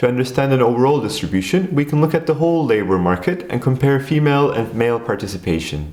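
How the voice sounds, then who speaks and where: Over noticeable background noise, a man with a Turkish accent talks at a very fast pace, his pitch swinging very widely. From Turkey. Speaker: educational video creator. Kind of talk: scripted narration.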